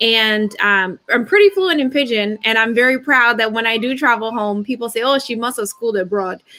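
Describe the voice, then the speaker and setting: A bright, sharp voice with an American accent at a moderate pace, with ordinary pitch variation and hardly any pauses. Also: woman, fairly high pitch for a woman. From United States, Nigerian family. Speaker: panel guest, official. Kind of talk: panel discussion.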